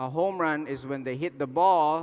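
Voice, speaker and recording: The pace is very slow. A man talks at a fairly high pitch. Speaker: motivational speaker on network marketing. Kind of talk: motivational talk to a live audience.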